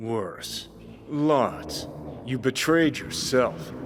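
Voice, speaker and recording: A man does a put-on character voice at a medium pitch. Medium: video game. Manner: sardonic, blunt.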